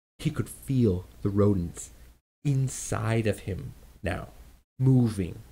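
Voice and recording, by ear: The background stays quiet as the speaker reads aloud in a natural voice, the pitch varying in an ordinary way.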